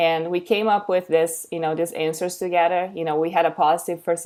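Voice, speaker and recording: A woman's fairly low voice in a Portuguese accent. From Brazil. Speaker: educator and content creator. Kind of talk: webinar presentation. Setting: online webinar. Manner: halting, many fillers.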